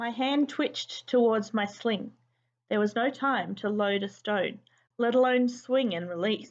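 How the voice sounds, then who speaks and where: A woman's fairly high voice at a fairly slow pace, a plain, everyday voice with ordinary pitch variation. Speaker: teacher. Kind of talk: children's book read-aloud.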